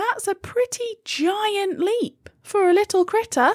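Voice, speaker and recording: A squeaky, put-on character voice at an extremely high pitch moves along at a fairly slow pace. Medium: read story.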